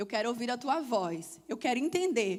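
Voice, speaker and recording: With very wide pitch swings, this woman's voice rides high. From Brazil, Salvador, Bahia. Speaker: church speaker. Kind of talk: testimony.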